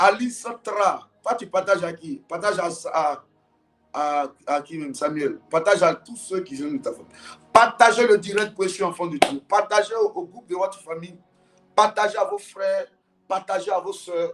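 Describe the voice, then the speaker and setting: Big swings in loudness mark this man's animated tone, his high pitch showing ordinary variation at a moderate pace. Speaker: prophet leading a prayer service. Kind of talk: morning prayer service livestream.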